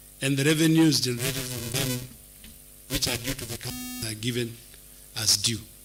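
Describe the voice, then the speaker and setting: Over music in the background, a man at medium pitch talks at a moderate pace in a monotone, flat intonation. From Kenya, Machakos County. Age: 60s. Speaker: job candidate. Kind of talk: interview panel vetting. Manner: formal.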